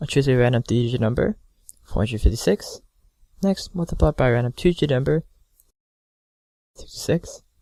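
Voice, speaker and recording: Somewhat breathy, a man speaks with lively intonation and long, frequent pauses. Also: medium pitch for a man. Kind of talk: math tutorial narration.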